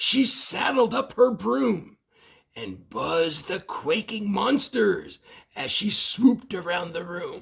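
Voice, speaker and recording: A high-pitched man at a fairly slow pace, with big swings in loudness. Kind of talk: bedtime story. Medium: read story. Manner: rhythmic, playful, sing-song.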